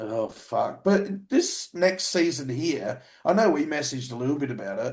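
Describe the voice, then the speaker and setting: A man speaks with vocal fry and very wide swings in pitch. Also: fairly high pitch for a man, moderate pace. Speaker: bodybuilding podcast co-host, bodybuilder. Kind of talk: casual chat.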